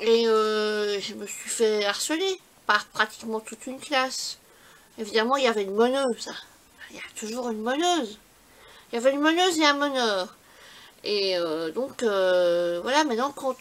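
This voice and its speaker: Speaking at a fairly slow pace with long, frequent pauses, a woman uses a fairly high pitch, lively intonation and big swings in loudness. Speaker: scrapbooking YouTuber. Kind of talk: casual vlog talk. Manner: halting.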